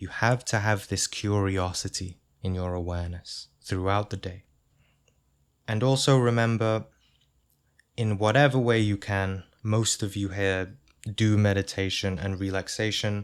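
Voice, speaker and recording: On a very clean recording with a silent background, a man speaks in a calm tone at a fairly slow pace, with fairly even intonation and long, frequent pauses. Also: fairly low pitch for a man. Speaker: spiritual teacher. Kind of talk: instructional talk.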